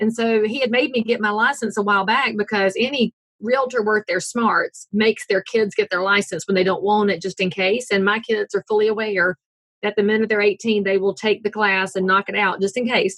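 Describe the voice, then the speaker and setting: A woman's fairly high voice in a Southern US accent, at a fairly quick pace, with very even loudness and fairly even intonation, in a dry, close sound with no echo. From US South, North Carolina. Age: 40s. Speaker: realtor. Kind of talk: interview.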